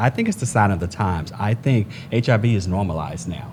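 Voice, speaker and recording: A man speaks at a moderate pace. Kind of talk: group conversation.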